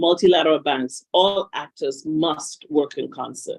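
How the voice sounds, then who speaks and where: In a Grenadian accent, a woman speaks at a moderate pace with a fairly low pitch and lively intonation. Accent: Caribbean (Grenadian). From Grenada, Caribbean. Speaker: panel speaker, institute representative. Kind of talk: conference panel remarks.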